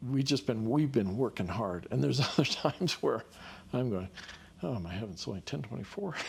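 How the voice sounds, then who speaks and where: A man talks at a fairly quick pace in a medium pitch with vocal fry and very wide pitch swings. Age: 70s. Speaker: therapist. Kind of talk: casual podcast conversation.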